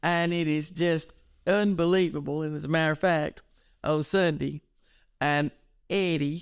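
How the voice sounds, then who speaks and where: A woman speaks with a very deep, low pitch at a fairly slow pace. She takes long, frequent pauses. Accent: Southern US. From eastern North Carolina. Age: 70s. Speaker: educational counselor. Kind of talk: interview. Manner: animated.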